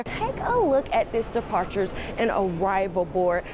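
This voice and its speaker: A woman speaks over noticeable background noise. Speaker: news reporter. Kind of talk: live TV news report. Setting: outdoors.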